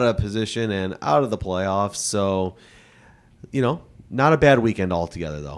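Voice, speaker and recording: A man with an American accent and an ordinary speaking voice, at a moderate pace, on a very clean recording with a silent background. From Chicago. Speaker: podcast co-host, staffing firm owner. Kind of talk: casual chat. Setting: studio at a private club.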